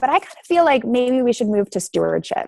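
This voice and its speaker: A woman speaks in a high voice with a slight Canadian accent, her sound dry and close with no echo. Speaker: teacher and applied researcher. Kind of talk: conference talk with Q&A. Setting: video call.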